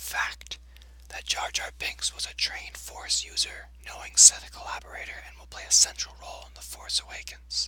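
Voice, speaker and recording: With noticeable background noise behind it, a whisper moves at a fairly slow pace. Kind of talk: ASMR reading of a fan theory post. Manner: whispered.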